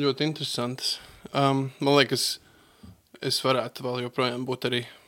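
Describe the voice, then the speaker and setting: A man speaks in a monotone at a medium pitch, his flat delivery carrying a bright, sharp tone. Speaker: translator and bible school teacher. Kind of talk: radio interview. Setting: studio. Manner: halting, many fillers.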